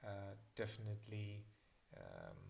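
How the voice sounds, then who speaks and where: A man speaks with a German accent at a fairly low pitch. His voice is somewhat breathy. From Germany (south of Berlin). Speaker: miniature painting teacher. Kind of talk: live-streamed hobby class Q&A. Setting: live stream. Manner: halting, many fillers.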